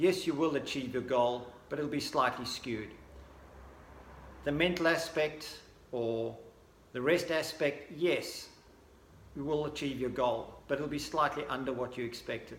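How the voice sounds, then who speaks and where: A man speaks at a moderate pace with fairly high pitch and fairly even intonation. Long, frequent pauses break his speech, and room echo is audible. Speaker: sports nutrition brand representative. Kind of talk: recorded presentation. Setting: pre-recorded video, not in person.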